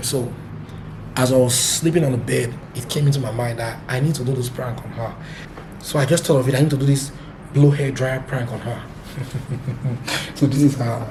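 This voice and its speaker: Delivered at a fairly quick pace, the speech carries audible room echo and noticeable background noise. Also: man. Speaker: family vlogger. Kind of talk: casual vlog.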